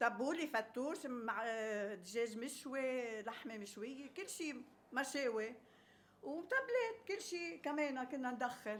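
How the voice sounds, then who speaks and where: Lively intonation at a very slow pace. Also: woman, high pitch for a woman. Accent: Lebanese. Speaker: home cook, former restaurant owner. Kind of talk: casual interview. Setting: home kitchen.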